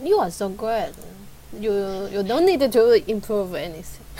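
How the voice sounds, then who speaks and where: A woman with a medium pitch speaks in very wide pitch swings, with audible room echo and noticeable background noise. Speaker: English learner. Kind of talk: one-on-one English lesson. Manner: halting.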